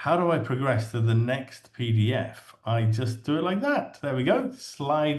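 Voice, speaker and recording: A man with an English accent and a somewhat breathy, medium-pitched voice speaks at a fairly slow pace with hardly any pauses and ordinary pitch variation, in audible room echo. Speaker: English teacher trainer. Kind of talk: webinar presentation. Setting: online webinar.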